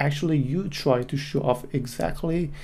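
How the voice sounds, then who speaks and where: A man with a non-native accent speaks at a fairly high pitch with fairly even intonation. His tone is dark and mellow, and somewhat breathy. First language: not English. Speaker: graphic designer and solo podcaster. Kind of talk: solo monologue, opinion. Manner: halting.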